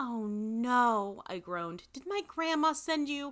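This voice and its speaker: A woman's animated, theatrical voice with very wide pitch swings, on a very clean recording with a silent background. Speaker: podcast host and narrator. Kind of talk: dramatic narration of a story, reading aloud with character voices.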